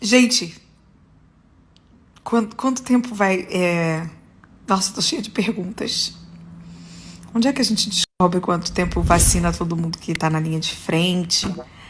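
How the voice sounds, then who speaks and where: At a fairly slow pace with long, frequent pauses, a woman speaks at medium pitch with ordinary pitch variation. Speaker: singer. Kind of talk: casual talk, celebrating. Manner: excited, upbeat.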